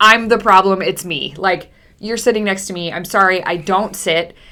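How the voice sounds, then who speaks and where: A woman speaks in an animated tone at a moderate pace, with noticeable background noise behind her. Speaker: college football podcast co-host. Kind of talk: casual chat. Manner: loud.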